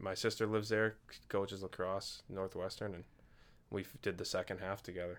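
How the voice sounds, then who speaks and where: With a Massachusetts accent, a man talks at a fairly quick pace and fairly low pitch in a monotone, flat way, on a very clean recording with a silent background. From Massachusetts, Duxbury. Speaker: church member, guest. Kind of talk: casual interview chat. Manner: halting.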